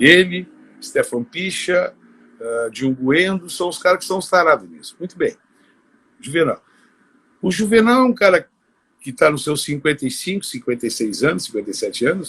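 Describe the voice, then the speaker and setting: A man talks at a high pitch with very wide pitch swings and big swings in loudness. He leaves long, frequent pauses. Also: moderate pace. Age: 60s. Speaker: dental prosthetics technician. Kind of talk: podcast interview. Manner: animated.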